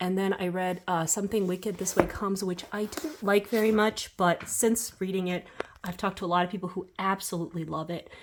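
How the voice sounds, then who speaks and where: A woman at medium pitch and a fairly quick pace, with fairly even intonation and noticeable background noise. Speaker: booktuber. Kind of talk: casual chat. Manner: chatty, many fillers.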